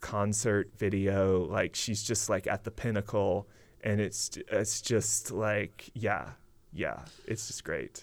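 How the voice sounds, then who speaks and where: A man with a Southern US accent speaks at a very slow pace and fairly low pitch, with vocal fry and fairly even intonation. The recording is very clean, with a silent background. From Mississippi, rural. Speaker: novelist and creative writing professor. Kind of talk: casual interview chat.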